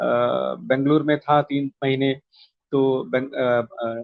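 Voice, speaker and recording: This is a man speaking with a Malayalam accent. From South India (Kerala, childhood in Andhra Pradesh). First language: Malayalam (speaking Hindi). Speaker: poet and translator. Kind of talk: interview. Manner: hesitant, many fillers.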